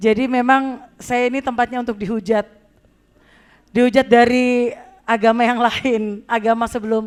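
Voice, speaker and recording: Fairly high-pitched woman at a fairly slow pace, with monotone, flat intonation. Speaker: singer. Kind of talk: testimony.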